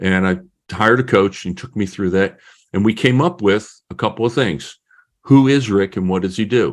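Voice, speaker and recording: He talks with an American accent at a moderate pace. The man's pitch sits fairly low. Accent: New Jersey and Texan speech. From northern New Jersey. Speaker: business coach and author. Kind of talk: podcast interview.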